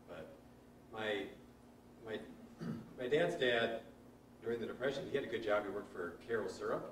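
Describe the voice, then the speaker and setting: A man's medium-pitched voice with an American accent, long, frequent pauses, and audible room echo. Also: ordinary pitch variation, fairly quick pace. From Nebraska, Omaha. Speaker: priest. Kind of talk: casual chat.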